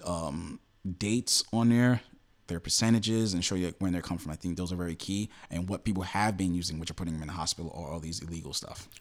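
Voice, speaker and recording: Very deep and low in pitch, a man speaks very fast with ordinary pitch variation. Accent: New York. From New York City. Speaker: magazine founder and editor. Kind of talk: casual interview.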